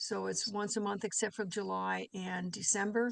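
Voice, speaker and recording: A woman with an American accent speaks at a moderate pace in a medium pitch, her intonation fairly even against a quiet background. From New York. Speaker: condominium association board member. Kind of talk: legislative committee testimony. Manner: hesitant, many fillers.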